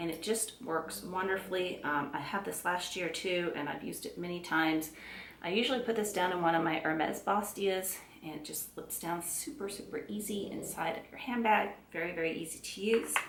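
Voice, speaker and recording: Against noticeable background noise and audible room echo, a woman speaks fairly quickly at a fairly low pitch, with ordinary pitch variation and big swings in loudness. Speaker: beauty and handbag vlogger. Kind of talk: casual product review to camera. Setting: at home. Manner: chatty, with frequent fillers and self-corrections.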